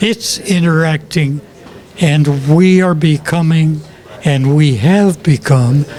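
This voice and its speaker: A man with a fairly high pitch and ordinary pitch variation talks at a very slow pace amid noticeable background noise. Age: 80s+. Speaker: film ship designer and author. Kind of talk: interview. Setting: comic shop event. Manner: halting.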